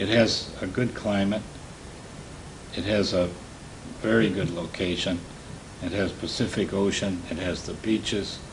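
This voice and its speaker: A man with an American accent speaks at a fairly slow pace in a fairly low voice, his intonation fairly even, with long, frequent pauses, audible room echo and noticeable background noise. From Michigan, US Midwest. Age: 80s+. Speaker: war veteran. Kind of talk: interview testimony. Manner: halting.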